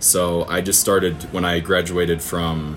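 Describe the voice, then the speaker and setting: Noticeable background noise sits behind a man with an American accent whose pitch is very deep and low. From US Midwest (northern Michigan). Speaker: farmer. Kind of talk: interview.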